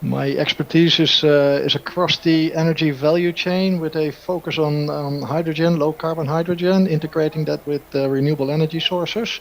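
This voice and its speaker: Over noticeable background noise, a man talks at a fairly quick pace in a monotone, flat intonation with hardly any pauses. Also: fairly high pitch for a man. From Netherlands. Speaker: energy engineer, panelist. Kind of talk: casual chat. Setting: remote call. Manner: halting.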